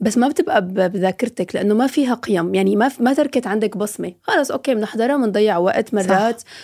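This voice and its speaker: A woman with a dark, mellow tone and a fairly high voice speaks at a fairly quick pace with ordinary pitch variation on a very clean recording with a silent background. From Syria. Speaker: TV presenter and influencer. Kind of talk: casual chat.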